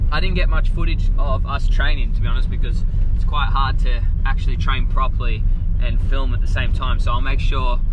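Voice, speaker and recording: The recording has a dry sound with no echo and loud background noise. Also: man. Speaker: vlogger. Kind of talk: casual vlog chat. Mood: relaxed, upbeat. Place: car. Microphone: phone near.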